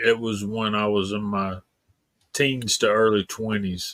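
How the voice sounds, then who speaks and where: This man's voice sits at medium pitch with monotone, flat intonation. The sound is dry and close, without echo. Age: 60s. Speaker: livestream co-host. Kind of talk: casual chat.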